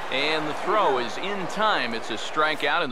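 A man's fairly high voice moves at a moderate pace, with noticeable background noise around it. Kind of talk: sports commentary, play-by-play of a video game. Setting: video game footage with in-game commentary. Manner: animated, brisk play-by-play delivery with rising excitement on home runs; polished, broadcast-style and formal.

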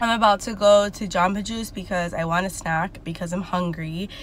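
A woman talks at a moderate pace with ordinary pitch variation and a somewhat breathy voice. The sound is dry with no echo, over light background noise. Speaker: vlogger. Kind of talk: casual vlog chat. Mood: stressed, a bit emotional. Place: car. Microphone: phone near.

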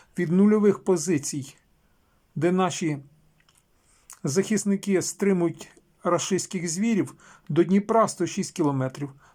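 The delivery is very slow, with long, frequent pauses. Pitch varies in an ordinary way. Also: man, high pitch for a man. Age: old. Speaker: video blogger. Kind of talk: political commentary. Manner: rhetorical, indignant.

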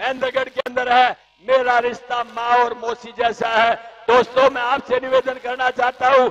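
A man speaks loudly at a very slow pace. His pitch is extremely high and his intonation monotone and flat. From Haryana, India. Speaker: politician. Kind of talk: political rally speech. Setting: stage at a public rally. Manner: loud, forceful oratory. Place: stage. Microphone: handheld.

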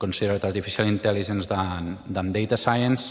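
The intonation is fairly even. It is an ordinary speaking voice. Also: man. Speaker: conference speaker. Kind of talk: lecture. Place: hall.

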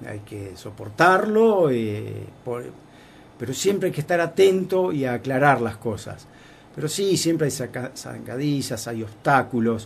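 A somewhat breathy male voice at medium pitch, with very wide pitch swings, big shifts in loudness, and a fairly slow pace. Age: 60s. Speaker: foundation director. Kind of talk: radio interview.

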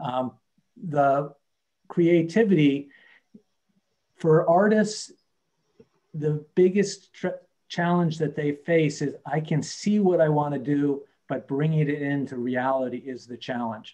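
At a very slow pace with long, frequent pauses, a voice with a dark, mellow tone and ordinary pitch variation comes through over a quiet background. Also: man. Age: 60s. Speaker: business coach. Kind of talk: webinar presentation. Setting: video call webinar. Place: home room. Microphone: video call.

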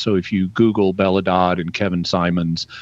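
A man speaks with a Southern US accent and fairly even intonation. The sound is dry, with no echo. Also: quiet background. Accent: Southern US, drops final g. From Arkansas. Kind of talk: radio call-in answer. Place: home room. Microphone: studio mic.

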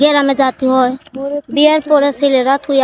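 With a dry, close sound and no echo, a woman speaks at a high pitch in a monotone, flat way. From Bangladesh, Bikrampur (Dhaka). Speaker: Bede community woman seeking marriage. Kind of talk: street interview.

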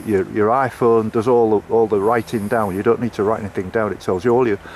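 With a Yorkshire accent, a man talks at a very fast pace and fairly even intonation, the sound dry with no echo and light background noise. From northern England (Hull). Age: 70s. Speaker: long-distance coastal walker and vlogger. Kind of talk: casual vlog chat. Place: open country. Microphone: phone near.

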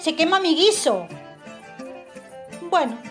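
A woman speaks at a fairly slow pace with very wide pitch swings. Music plays in the background. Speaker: radio acting workshop student. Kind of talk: humorous first-person monologue reading.

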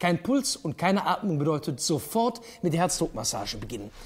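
A man with a Ruhr accent speaks at a high pitch, with very wide pitch swings. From Duisburg, Ruhr area, Germany. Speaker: cabaret artist. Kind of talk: cinema public service spot. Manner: casual, humorous, direct. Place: stage. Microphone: lapel.

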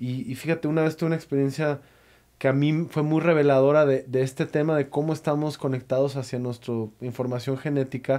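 Against a quiet background, a man speaks at a fairly quick pace in a fairly high voice with monotone, flat intonation. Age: 30s. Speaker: podcast host. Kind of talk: casual interview conversation. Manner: halting, many repetitions. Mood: calm, reflective. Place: studio. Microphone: studio mic.

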